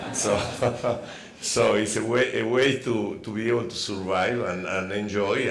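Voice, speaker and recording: With a Spanish accent and fairly even intonation, a man speaks at a moderate pace amid noticeable background noise and audible room echo. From Argentina. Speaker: scientist and novelist. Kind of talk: panel Q&A.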